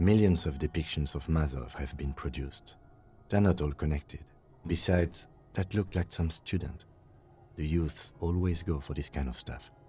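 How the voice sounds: Putting on a character voice, a man speaks at an extremely low pitch with a dark, mellow tone and a husky, rough edge. He goes at a fairly slow pace. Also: ordinary pitch variation.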